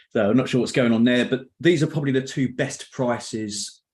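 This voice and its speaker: A man with a London accent at a fairly quick pace. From London area, England. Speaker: Excel trainer and author. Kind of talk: online meetup presentation. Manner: casual, with filler words.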